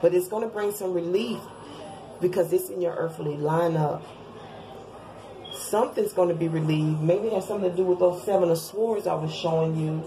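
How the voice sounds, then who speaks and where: A woman talks at a fairly quick pace with long, frequent pauses and noticeable background noise. Her voice is fairly low with fairly even intonation. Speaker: tarot reader. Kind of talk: tarot reading video.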